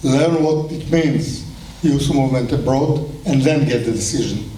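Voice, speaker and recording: A man with an Israeli accent at a fairly high pitch and fairly slow pace, fairly even in intonation, amid audible room echo and noticeable background noise. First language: Hebrew. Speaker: kibbutz movement leader. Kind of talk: speech at celebration.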